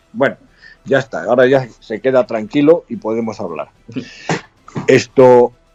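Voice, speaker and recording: Music plays behind a fairly slow delivery with lively intonation and long, frequent pauses. The loudness swings widely, and the sound is dry and close with no echo. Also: man, medium pitch for a man. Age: 70s. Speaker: retired army colonel. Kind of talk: interview.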